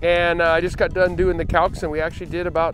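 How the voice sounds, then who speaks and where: Over clear music in the background, a man talks in a high pitch, the sound dry with no echo. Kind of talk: interview answer. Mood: relaxed, pleased. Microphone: lapel.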